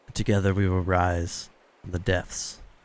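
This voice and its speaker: Putting on a character voice, a man speaks very deep and low at a moderate pace with monotone, flat intonation. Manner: ominous.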